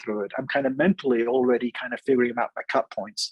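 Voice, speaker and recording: This man talks at a very fast pace with a medium-pitched voice, and the sound is dry and close with no echo. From Switzerland. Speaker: engineering professor. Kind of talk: presentation in a video meeting. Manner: animated.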